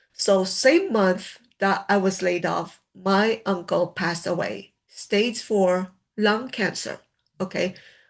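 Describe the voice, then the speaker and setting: At a very slow pace, the voice keeps a fairly even intonation over a quiet background. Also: woman, medium pitch for a woman. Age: 60s. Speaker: laid-off worker turned online creator. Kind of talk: personal vlog talk. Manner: conversational, frequent filler tags.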